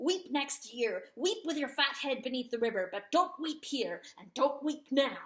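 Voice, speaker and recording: In a put-on character voice, a woman speaks at a high pitch with a hissing sound. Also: moderate pace, hardly any pauses. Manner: hissing, harsh.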